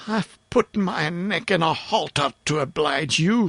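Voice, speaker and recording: Here is a put-on character voice at a middle pitch. It moves at a fairly slow pace. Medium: read story.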